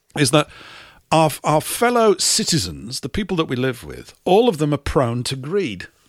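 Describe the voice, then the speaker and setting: The recording is very clean, with a silent background. A man with an English accent speaks at a moderate pace in a fairly high pitch, with very wide pitch swings and vocal fry. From England. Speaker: radio host. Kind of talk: live radio talk show.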